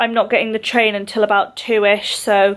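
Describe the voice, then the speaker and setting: A woman talks fairly high in pitch, keeping her intonation fairly even. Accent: English. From Scotland. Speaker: competitive swimmer and vlogger. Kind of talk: casual vlog talk to camera.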